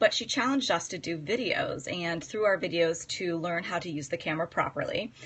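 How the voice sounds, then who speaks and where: This woman has an unremarkable speaking voice, medium in pitch, and she talks at a fairly quick pace. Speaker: psychotherapist and coach. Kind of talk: live-stream talk. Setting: live video stream.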